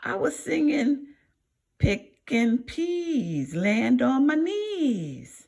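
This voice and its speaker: In a put-on character voice, a female-sounding voice speaks very slowly at a high pitch. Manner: nervous, caught out.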